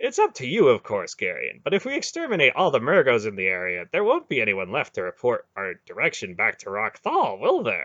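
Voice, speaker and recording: A man puts on a character voice, talking at a fairly quick pace with hardly any pauses. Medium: read story. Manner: wry, needling.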